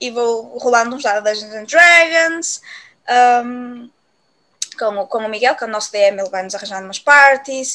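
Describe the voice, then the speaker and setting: A high-pitched woman at a moderate pace, ordinary pitch variation, big swings in loudness and long, frequent pauses. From Portugal, Viana do Castelo. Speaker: podcast co-host. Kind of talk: casual chat. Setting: at home with cats.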